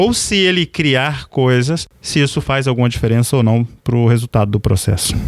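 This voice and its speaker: Amid noticeable background noise, a man at a medium pitch talks at a moderate pace with lively intonation, very even loudness and hardly any pauses. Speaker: podcast host. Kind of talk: interview.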